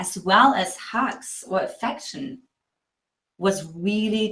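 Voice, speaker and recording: A woman with a German accent speaks with ordinary pitch variation. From East Germany. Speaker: relationship coach. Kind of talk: interview.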